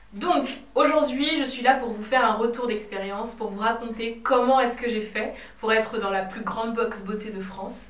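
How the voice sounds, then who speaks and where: Fairly high-pitched woman's voice with fairly even intonation, audible room echo and noticeable background noise. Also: moderate pace, big swings in loudness. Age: 20s. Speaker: cosmetics brand founder and YouTuber. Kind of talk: vlog. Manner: hesitant with fillers.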